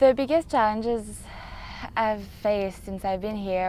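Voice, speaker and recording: A woman speaks in a French accent at a fairly slow pace. Her pitch sits in the medium range. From France. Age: 20s. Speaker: special education worker. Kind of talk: documentary interview.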